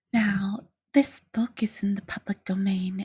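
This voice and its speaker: The voice is soft-spoken. Its tone is gentle. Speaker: ASMR audiobook reader. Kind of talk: casual intro to listener. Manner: soft-spoken, gentle.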